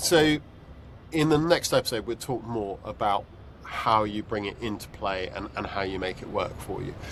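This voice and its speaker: Speaking with a British accent at a moderate pace, a man uses a fairly low pitch and lively intonation. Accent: UK. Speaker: podcast host. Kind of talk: casual chat. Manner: halting, many fillers.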